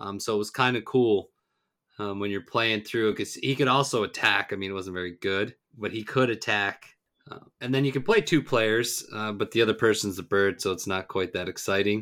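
A man with a fairly low pitch speaks in a bright, sharp tone at a moderate pace. His intonation is fairly even, and the recording is very clean with a silent background. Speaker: podcast host. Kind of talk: casual podcast chat.

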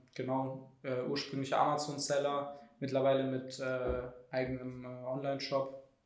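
Through audible room echo, a man with a fairly high pitch speaks at a very slow pace. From Germany, Heidelberg. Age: 20s. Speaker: startup employee, content marketer. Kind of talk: casual chat. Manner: halting, many fillers.

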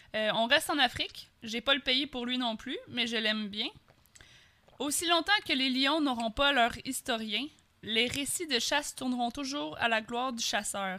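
In a Quebec accent, a woman with a high pitch speaks with lively intonation and long, frequent pauses. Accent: Québécois French. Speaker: podcast co-host. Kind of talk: casual chat.

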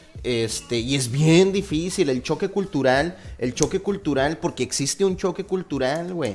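Music plays in the background as a man with a fairly high pitch talks at a fairly slow pace, with lively intonation and hardly any pauses. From Mexico, Torreón, Coahuila. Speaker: podcast host, engineer. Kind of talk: casual chat.

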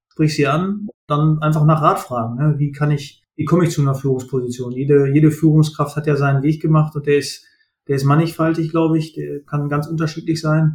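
Somewhat breathy and fairly high-pitched, a man talks at a fairly quick pace in a monotone, flat delivery. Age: 30s. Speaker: supply chain manager. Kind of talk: interview.

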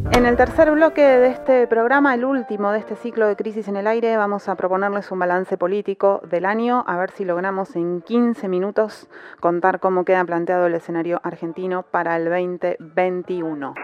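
A woman's ordinary speaking voice at medium pitch, with lively intonation, moderate pace and hardly any pauses. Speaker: radio host. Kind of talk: scripted radio narration.

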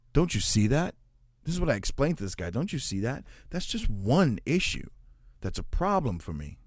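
A man speaks at a fairly quick pace with a fairly high pitch and vocal fry. His pitch swings very widely. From United States, of Puerto Rican descent. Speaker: podcast host. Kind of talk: solo podcast monologue. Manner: casual, conversational.

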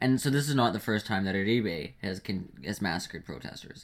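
A man with an ordinary speaking voice talks at a moderate pace in a medium pitch, his intonation lively. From Canada. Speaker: podcast co-host. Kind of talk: casual chat.

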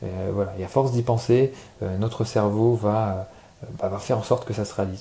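A man speaks with a fairly low pitch and a monotone, flat intonation. His pace is moderate. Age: 20s. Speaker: podcaster. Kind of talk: casual solo talk. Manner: hesitant, many fillers.

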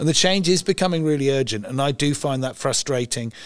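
A man speaks with an English accent and ordinary pitch variation, captured in a very clean recording with a silent background. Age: 60s. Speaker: environmental campaigner. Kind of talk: interview. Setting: event venue.

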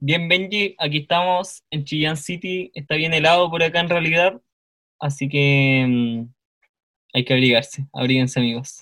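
Speaking at a fairly slow pace, a man with an ordinary speaking voice has a fairly high pitch and ordinary pitch variation. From northern Chile, Calama. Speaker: theology student. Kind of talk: casual chat.

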